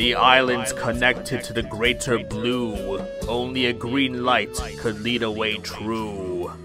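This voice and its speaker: A man's put-on character voice at a medium pitch, fairly slow, over loud music in the background. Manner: ominous, rhyming prophecy.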